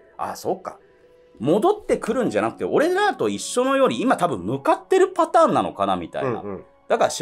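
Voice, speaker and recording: With faint music in the background, a man talks at a very fast pace. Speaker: ghost story comedian. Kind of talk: ghost story telling. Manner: casual. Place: studio.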